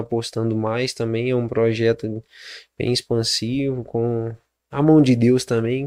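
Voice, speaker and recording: The recording is dry and close with no echo, set against a quiet background. A man speaks in a dark, mellow tone. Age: 20s. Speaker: entrepreneur. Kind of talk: interview.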